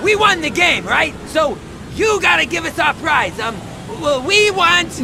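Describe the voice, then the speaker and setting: Over loud background noise, a man drawls at a moderate pace in a put-on character voice. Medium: video game. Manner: excitable slacker drawl, dude slang.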